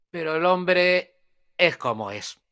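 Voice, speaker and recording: Bright, sharp tone in a Spanish accent at a very slow pace. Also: man. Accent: Peninsular Spanish. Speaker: journalist and history expert. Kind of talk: live conversational history discussion. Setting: live online audio broadcast. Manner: halting, many repetitions and fillers.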